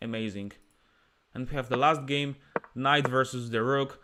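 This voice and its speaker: Here a man talks with a Polish accent. His pitch sits in the medium range. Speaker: chess streamer and player. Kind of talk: live chess commentary. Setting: live stream with chat. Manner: animated.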